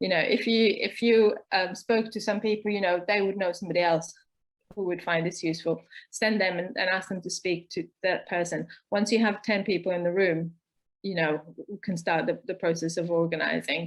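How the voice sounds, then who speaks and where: At a moderate pace and medium pitch, a woman talks in an ordinary speaking voice with fairly even intonation. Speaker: co-op organizer and co-founder. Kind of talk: online talk session. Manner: many filler words and repetitions.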